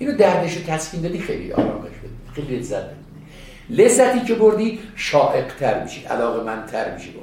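A man with a high pitch races along at a very fast pace, his pitch swinging very widely and his loudness rising and falling sharply, with audible room echo and noticeable background noise. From Iran, village northwest of Tehran. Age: 60s. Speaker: retired emergency medical trainer. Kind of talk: interview, storytelling.

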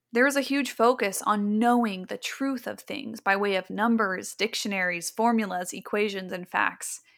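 An ordinary speaking voice from a woman, fairly high in pitch, at a moderate pace with ordinary pitch variation. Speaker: podcast host. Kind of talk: casual chat.

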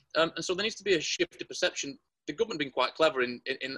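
A man speaks at a very fast pace with a bright, sharp tone. The sound is dry and close, with no echo. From Salford, Greater Manchester, northern England. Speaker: property developer. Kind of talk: interview.

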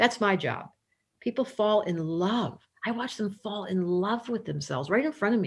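Someone speaks at a moderate pace with lively intonation and vocal fry. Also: woman, medium pitch for a woman. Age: 60s. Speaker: astrologer with psychology background. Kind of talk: interview.

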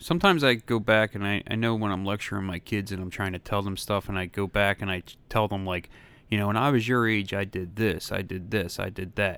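A man with an ordinary speaking voice talks at a fairly quick pace with hardly any pauses, his fairly low pitch following fairly even intonation. The recording is very clean, with a silent background. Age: 40s. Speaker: returning podcast guest. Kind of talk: casual chat.

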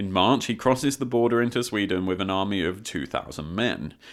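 The voice reads in an unforced way, its pitch varying in an ordinary fashion.

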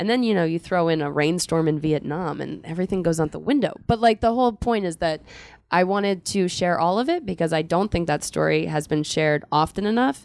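In a very clean recording with a silent background, a woman with a plain, everyday voice speaks fairly quickly at a fairly low pitch with ordinary pitch variation. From Philadelphia, US. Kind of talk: live book talk interview. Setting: bookstore stage with audience.

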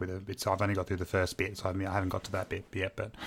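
In an Australian accent, a man with a fairly low pitch talks at a very fast pace. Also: very clean recording, silent background. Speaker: podcast host, teacher and operations manager. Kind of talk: casual chat.

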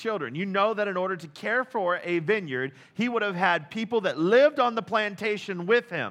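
The pitch varies in an ordinary way. It's a natural reading voice.

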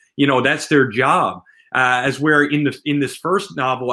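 A man with a Newfoundland accent speaks at a moderate pace in a fairly high voice. His tone is bright and sharp, and the recording is very clean with a silent background. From central Newfoundland. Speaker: self-published author. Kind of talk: interview.

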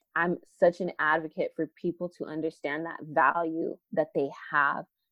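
This woman, with an American accent, talks at a fairly slow pace in a fairly low pitch and a monotone, flat intonation. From Arizona, South Phoenix. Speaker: educator and leadership coach. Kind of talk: casual interview chat.

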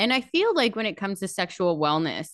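Against a quiet background, a woman with an unremarkable speaking voice talks fairly quickly at a medium pitch. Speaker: podcast host. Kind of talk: casual interview chat.

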